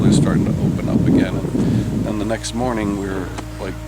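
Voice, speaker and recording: Noticeable background noise and audible room echo surround this recording. The man's voice is very deep and low. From California. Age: 70s. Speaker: hurricane survivor. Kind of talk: interview.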